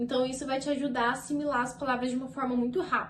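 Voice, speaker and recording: A woman talks in a high pitch. Audible room echo surrounds her voice. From Brazil. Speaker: au pair vlogger. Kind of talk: casual vlog talk to camera. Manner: chatty, conversational.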